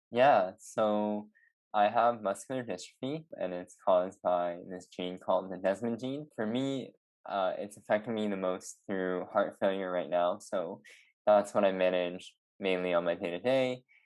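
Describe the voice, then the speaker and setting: In a Canadian accent, a man speaks at a fairly slow pace with a fairly low pitch and ordinary pitch variation. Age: 20s. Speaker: product designer with chronic illness. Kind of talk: interview. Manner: hesitant, many fillers.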